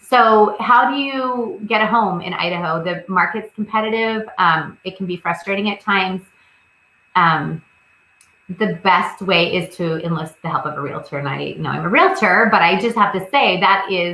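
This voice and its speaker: With a medium pitch and ordinary pitch variation, a woman speaks at a moderate pace. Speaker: realtor. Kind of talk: seminar presentation.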